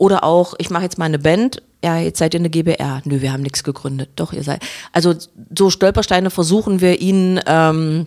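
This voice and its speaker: At a moderate pace and with ordinary pitch variation, this is a plain, everyday voice. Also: woman. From Saxony-Anhalt and Berlin, Germany. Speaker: head of a cultural centre. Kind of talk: casual chat.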